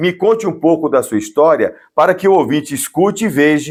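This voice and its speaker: Very wide pitch swings mark this man's high voice, heard on a very clean recording with a silent background. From Brazilian Northeast. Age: 50s. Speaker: podcast host. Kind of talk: interview.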